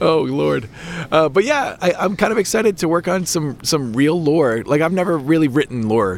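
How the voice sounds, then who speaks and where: Against noticeable background noise, a man with a fairly high pitch speaks in very wide pitch swings. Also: moderate pace. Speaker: podcast host. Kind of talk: casual chat. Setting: outdoors.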